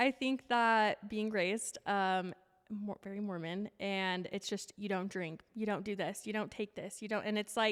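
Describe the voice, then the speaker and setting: On a very clean recording with a silent background, a woman with a western US accent speaks at a moderate pace in a medium pitch. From Utah. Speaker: fitness coach and speaker. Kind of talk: casual chat.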